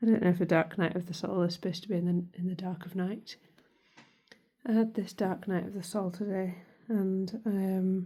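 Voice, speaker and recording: A woman's somewhat breathy voice, dark and mellow in tone, with monotone, flat intonation. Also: medium pitch for a woman, moderate pace. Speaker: vlogger. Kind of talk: casual monologue. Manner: halting.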